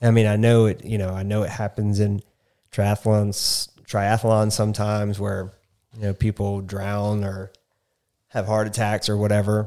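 A man speaks in a fairly low, monotone voice with flat intonation. The recording is very clean, with a silent background. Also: moderate pace. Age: 30s. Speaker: podcast host, amateur runner. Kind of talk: casual chat.

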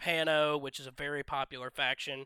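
With a Southern US accent, this voice has a bright, sharp tone at a moderate pace, recorded dry and close with no echo. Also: man. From US South, northwest Georgia. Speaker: YouTube gaming channel creator, tabletop wargamer. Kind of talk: casual chat.

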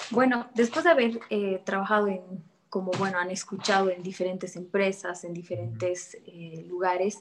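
In a normal speaking voice, a woman talks at a moderate pace and a medium pitch with ordinary pitch variation. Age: 20s. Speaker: real estate agent. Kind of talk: interview.

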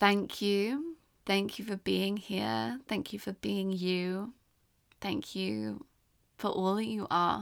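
A woman with a southern English accent at a very slow pace, in a very clean recording with a silent background. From England (London, English countryside). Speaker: podcast host. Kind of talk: personal storytelling monologue. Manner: gentle, reflective.

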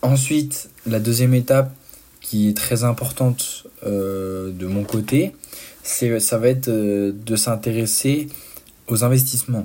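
Pitch variation here is ordinary. The tone is dark and mellow. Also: man. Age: 20s. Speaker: student entrepreneur podcaster. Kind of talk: solo podcast monologue. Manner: halting, many fillers.

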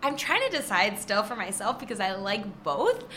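With a Michigan accent and an animated tone, a woman speaks at a medium pitch amid audible room echo. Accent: Midwestern American (Michigan). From Michigan, Detroit area (Trenton). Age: 20s. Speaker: social media influencer and magazine contributing editor. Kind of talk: casual interview chat. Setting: recording live in an apartment building.

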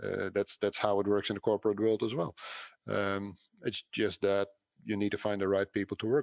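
In a Dutch accent, a man talks fairly quickly with a fairly low pitch and monotone, flat intonation. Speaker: franchise business owner. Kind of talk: interview. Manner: halting.

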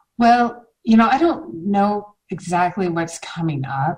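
A woman's fairly slow, somewhat breathy speech with ordinary pitch variation. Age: 40s. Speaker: mom blogger in recovery from alcohol. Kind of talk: interview about personal recovery. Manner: many filler words (um).

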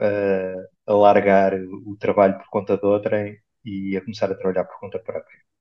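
The man has a plain, everyday voice with a fairly low pitch. His pace is moderate. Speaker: podcast host. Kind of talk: interview.

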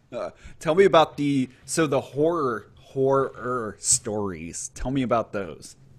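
With an American accent and an unremarkable speaking voice, a man at medium pitch speaks at a fairly slow pace with lively intonation. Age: 30s. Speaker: podcast host, US Army veteran. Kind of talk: casual interview.

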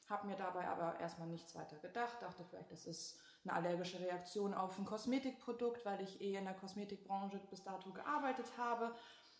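A medium-pitched woman at a fairly quick pace, with ordinary pitch variation, audible room echo and noticeable background noise. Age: 20s. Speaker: patient. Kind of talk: testimony in casual interview.

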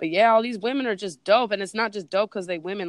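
In a Bay Area accent, a woman speaks with a dry, close sound with no echo. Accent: Bay Area Californian. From East Bay, California. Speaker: DJ and producer. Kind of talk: casual interview. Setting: phone call. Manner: casual.

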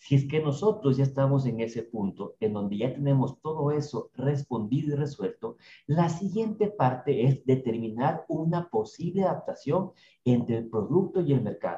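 Fairly high in pitch, a man speaks at a moderate pace with lively intonation and a dark, mellow, somewhat breathy tone. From Ecuador, Ambato. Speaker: co-host, digital and business strategist. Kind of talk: business podcast explainer.

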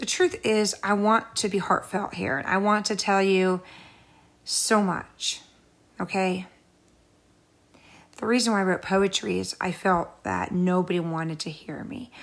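Using fairly even intonation at a medium pitch, a woman talks at a fairly slow pace with long, frequent pauses. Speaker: podcast host. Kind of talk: casual monologue.

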